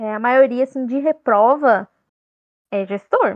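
A woman is speaking. Her pitch is fairly high, with ordinary variation. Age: 20s. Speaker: job recruiter. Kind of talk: casual chat.

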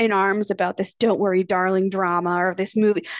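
A woman with a plain, everyday voice, medium pitch, and a moderate pace, in a dry, close sound with no echo against a quiet background. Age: 30s. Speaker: podcast host, former teacher and stay-at-home mom. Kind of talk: personal monologue. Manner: casual, with frequent fillers and laughs.

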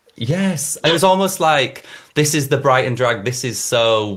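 Pitched medium for a man, a voice with a northern English accent speaks at a very slow pace with lively intonation. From northern England, Leeds. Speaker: podcast host, fashion designer and drag queen. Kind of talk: casual interview chat.

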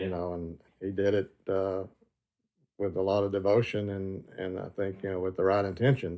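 A man with a Tennessee accent speaks at a moderate pace. His very deep, low voice stays monotone and flat. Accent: Southern US (Tennessee). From Tennessee, McMinnville. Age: 60s. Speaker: grandson of a prohibition agent, retired security inspector. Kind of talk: interview. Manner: halting, many fillers.

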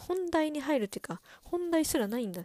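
A woman speaks in an animated tone, her pitch swinging very widely. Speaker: podcast host. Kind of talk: solo casual chat. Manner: fast; animated, laughing often.

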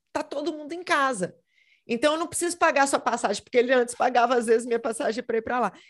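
This is a woman speaking. Her pitch is high. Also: quiet background. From Brazil, Minas Gerais. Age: 30s. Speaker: history teacher and model. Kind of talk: casual interview.

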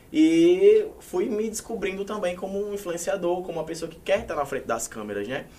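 Over noticeable background noise, a man with a high pitch talks at a fairly quick pace with lively intonation and hardly any pauses. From Paraíba, Brazil. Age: 20s. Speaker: social media influencer. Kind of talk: casual chat.

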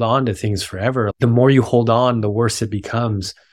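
A man with an ordinary speaking voice talks at medium pitch and a moderate pace with fairly even intonation, in a very clean recording with a silent background. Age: 30s. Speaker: filmmaker. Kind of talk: casual interview.

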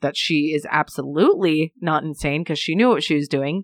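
Fairly quick and very deep, low-pitched, a woman's voice comes through dry and close with no echo over a quiet background. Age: 20s. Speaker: podcast co-host. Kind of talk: casual true-crime storytelling.

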